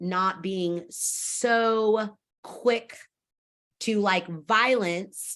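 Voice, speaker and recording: Loud and bright with a sharp tone, a woman speaks at medium pitch in an American accent, using ordinary pitch variation. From Fresno, California. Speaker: stage actor and theater staff member. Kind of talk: interview. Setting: video call.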